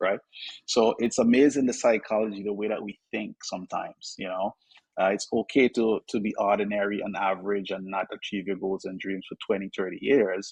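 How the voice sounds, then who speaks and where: A man with a Vincentian accent talks at a fairly quick pace and a fairly low pitch, in a dry, close sound with no echo. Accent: Vincentian Caribbean. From Saint Vincent and the Grenadines. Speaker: financial advisor. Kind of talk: podcast interview. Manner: animated.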